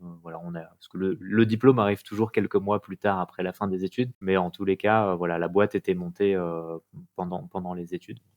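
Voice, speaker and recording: Speaking at a fairly quick pace, a man with a very deep, low voice keeps his intonation fairly even while his loudness swings widely. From Paris region, France. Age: 30s. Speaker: entrepreneur, restaurant co-founder. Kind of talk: podcast interview. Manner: hesitant, many fillers.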